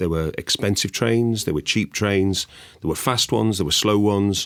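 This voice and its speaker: In a northern English accent, a man with a fairly low pitch speaks at a fairly quick pace with lively intonation. The recording is very clean, with a silent background. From northern England. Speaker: investment sales executive. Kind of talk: podcast discussion.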